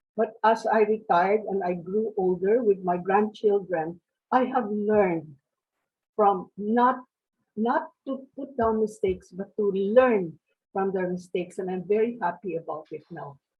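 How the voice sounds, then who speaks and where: A woman with a medium-pitched, somewhat breathy voice speaks at a fairly slow pace, her loudness rising and falling in big swings. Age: 80s+. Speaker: retired teacher, seminar participant. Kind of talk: group discussion sharing. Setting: video call.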